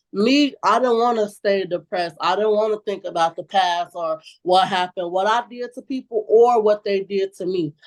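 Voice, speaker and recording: A woman at a medium pitch and a moderate pace, with ordinary pitch variation, hardly any pauses, and a dry, close sound with no echo. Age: 20s. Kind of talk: interview answer. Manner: outspoken.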